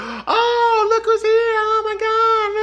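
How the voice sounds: An extremely high-pitched, put-on character voice. Loud background noise sits behind it.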